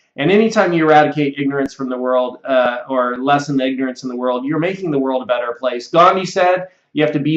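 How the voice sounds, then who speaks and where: Against a quiet background with audible room echo, a man speaks very fast at a fairly high pitch with ordinary pitch variation. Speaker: computer software instructor; online course instructor. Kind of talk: sales pitch. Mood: friendly, earnest. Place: office. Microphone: webcam.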